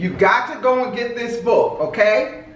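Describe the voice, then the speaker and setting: The tone is animated, with noticeable background noise. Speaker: video show host. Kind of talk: casual interview chat. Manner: loud.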